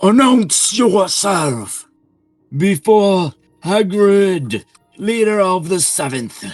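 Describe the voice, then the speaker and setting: A put-on character voice speaks at a middle pitch and a very slow pace. Faint music plays in the background. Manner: commanding.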